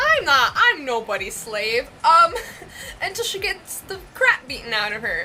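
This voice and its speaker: Over noticeable background noise, a woman with an American accent projects her raised voice at a moderate pace, her pitch swinging very widely. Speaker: vlogger and larper. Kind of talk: casual vlog monologue. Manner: hesitant, many fillers (um, like).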